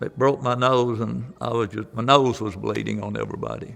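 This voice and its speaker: A man talks at a moderate pace in an Alabama accent. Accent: Southern US (Alabama). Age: 70s. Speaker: tornado survivor. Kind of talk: testimony. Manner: halting.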